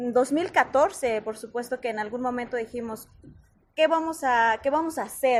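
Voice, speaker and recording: Speaking at a fairly slow pace, a woman has a high pitch and ordinary pitch variation. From Mexico, Oaxaca, Mixe community. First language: Mixe (speaking Spanish). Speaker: soprano singer. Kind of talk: interview.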